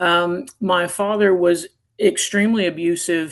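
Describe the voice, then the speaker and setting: This woman has a plain, everyday voice and an American accent. She speaks at a fairly low pitch with fairly even intonation. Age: 50s. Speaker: retired navy officer. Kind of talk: interview testimony.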